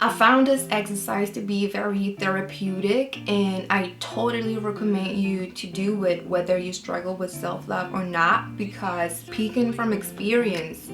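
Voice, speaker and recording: Music plays in the background as a woman with a medium pitch talks at a fairly slow pace with hardly any pauses. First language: French. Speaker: writer and lifestyle vlogger. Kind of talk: casual vlog monologue. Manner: casual with frequent fillers.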